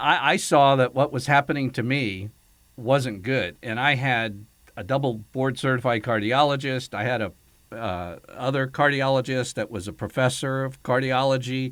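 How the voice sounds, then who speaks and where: With a normal speaking voice, a man talks at a moderate pace. His pitch is medium, with ordinary variation. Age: 60s. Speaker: radio host. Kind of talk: casual chat.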